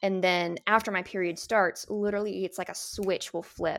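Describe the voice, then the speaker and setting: A woman talks at a medium pitch and a moderate pace in an unremarkable speaking voice. Her intonation is fairly even. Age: 30s. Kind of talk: casual chat.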